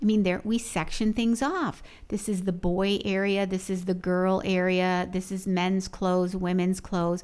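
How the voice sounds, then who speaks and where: A woman at medium pitch speaks in a monotone, flat intonation at a moderate pace with hardly any pauses and very even loudness, in a very clean recording with a silent background. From US Midwest, Chicago. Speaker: sociology professor. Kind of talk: interview.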